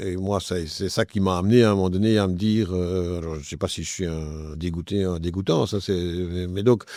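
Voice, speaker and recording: A man with a very deep, low voice speaks at a moderate pace with fairly even intonation and hardly any pauses. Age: 60s. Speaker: politician. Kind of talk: interview. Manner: halting, frequent hesitations.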